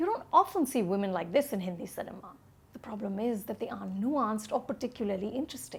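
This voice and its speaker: A woman's lively intonation against noticeable background noise. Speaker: film critic. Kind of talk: movie review to camera.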